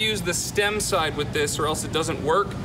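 Noticeable background noise sits behind the voice. A man speaks at a moderate pace. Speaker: in-store product demonstrator. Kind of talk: live infomercial-style product demonstration to a crowd. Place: shop.

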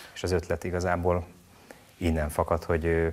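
A man talks with a very deep, low pitch. His pace is fairly quick. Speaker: TV show maker, guest. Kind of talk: interview answers. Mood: calm, earnest. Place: studio. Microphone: lapel.

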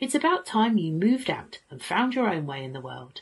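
Against a quiet background, a woman speaks in an animated, warm tone. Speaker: teacher reading a story to children. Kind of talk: bedtime story reading aloud. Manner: animated, using distinct character voices; warm, expressive, child-friendly storyteller. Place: home room. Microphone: phone near.

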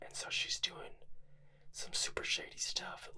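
A man whispering at a fairly slow pace. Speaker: vintage magazine reviewer. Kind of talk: casual vlog chat. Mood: amused, lightly sarcastic.

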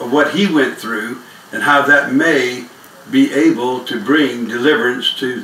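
Against light background noise and audible room echo, a man speaks at a fairly slow pace. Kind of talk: testimony talk. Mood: earnest, grateful. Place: home room. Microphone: camera far.

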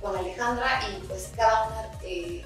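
Clear music plays in the background as a woman speaks amid strong room echo. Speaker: interview guest. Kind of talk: interview answer. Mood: earnest, committed. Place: studio.

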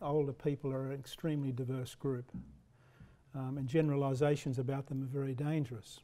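A man with an Australian accent has a fairly high pitch and a dark, mellow tone. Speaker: professor; lecturer. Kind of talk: lecture. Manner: halting. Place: hall. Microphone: podium.

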